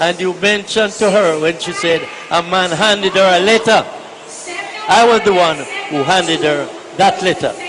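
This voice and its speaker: Against noticeable background noise, a man with a high pitch and fairly even intonation speaks at a moderate pace, leaving long, frequent pauses. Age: 80s+. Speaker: retired army sergeant, war-era veteran. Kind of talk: radio interview answer.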